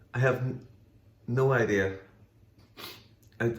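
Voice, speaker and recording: This man's voice sounds somewhat breathy. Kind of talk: casual conversation, reading comments aloud.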